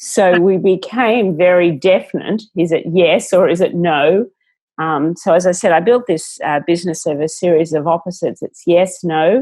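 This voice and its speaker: A woman's fairly low voice with a dark, mellow tone, an Australian accent and a moderate pace. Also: ordinary pitch variation. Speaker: entrepreneur. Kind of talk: interview.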